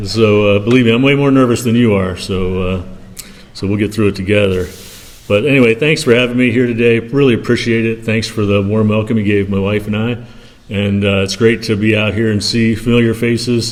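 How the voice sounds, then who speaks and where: A man at medium pitch, fairly quick in pace, with fairly even intonation and audible room echo. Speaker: ministry founder and guest speaker. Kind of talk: church talk / mission update. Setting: church. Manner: soft-spoken; halting, many fillers.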